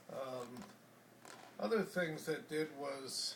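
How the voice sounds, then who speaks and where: A man talks with an American accent and lively intonation. There is noticeable background noise. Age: 70s. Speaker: war-era eyewitness. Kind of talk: interview. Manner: halting.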